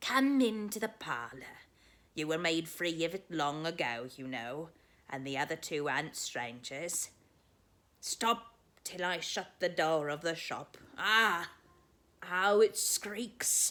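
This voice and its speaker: A female-sounding voice at a middle pitch performs a put-on character voice at a fairly slow pace, with long, frequent pauses. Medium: read story. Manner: wheedling, shrewd.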